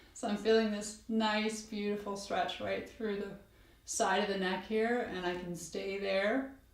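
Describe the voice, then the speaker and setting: Using a strained, put-on character voice at medium pitch, a woman speaks at a fairly slow pace in a monotone, flat intonation with audible echo. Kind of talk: calm instructional. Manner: strained, effortful.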